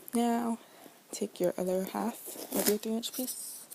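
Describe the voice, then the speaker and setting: Soft-spoken and very slow in pace, the voice has ordinary pitch variation. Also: woman. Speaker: crafts tutorial maker. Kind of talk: tutorial.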